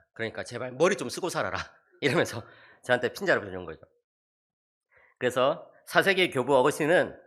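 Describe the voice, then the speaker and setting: A man talks at a fairly quick pace with very wide pitch swings, a bright, sharp tone and vocal fry. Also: very clean recording, silent background. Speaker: theology professor. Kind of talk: church seminar lecture. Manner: animated.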